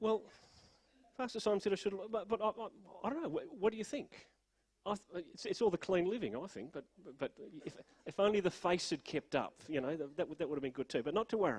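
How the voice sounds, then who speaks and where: An Australian-accented man with a high pitch talks at a very fast pace with lively intonation and long, frequent pauses, in a dry, close sound with no echo. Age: 60s. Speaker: pastor. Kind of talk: sermon. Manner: halting.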